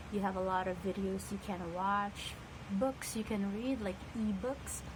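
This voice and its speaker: Speaking at a fairly slow pace, a woman with a medium-pitched voice keeps her loudness very even and her intonation fairly even, with audible room echo and noticeable background noise. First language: non-English (native language of home country). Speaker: ESL teacher. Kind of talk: casual talk to camera. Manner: hesitant, with frequent fillers.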